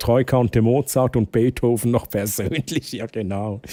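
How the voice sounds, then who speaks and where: A dark, mellow tone with ordinary pitch variation comes through a dry, close sound with no echo on a very clean recording with a silent background. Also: man. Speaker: streamer. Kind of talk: live stream chat.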